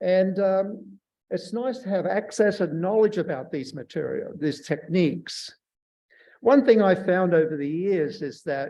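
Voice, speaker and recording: With an Australian accent, a man talks at a fairly slow pace in a high pitch with ordinary pitch variation. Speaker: surface scientist and workshop speaker. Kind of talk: lecture.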